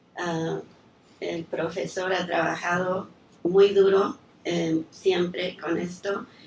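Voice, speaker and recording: Noticeable background noise sits under a voice with fairly even intonation. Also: woman. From raised abroad as diplomat's daughter (Chile, Yugoslavia, New York, Mexico). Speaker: lawyer, daughter of honoree. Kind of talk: speech of thanks at tribute. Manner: hesitant, with fillers.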